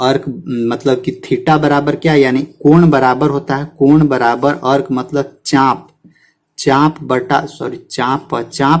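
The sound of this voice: A man speaks slowly at a medium pitch. His intonation stays fairly even.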